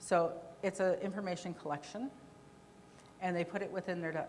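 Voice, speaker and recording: Over noticeable background noise, a woman speaks in a fairly low pitch with fairly even intonation. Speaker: conference presenter on victim services. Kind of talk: presentation with Q&A.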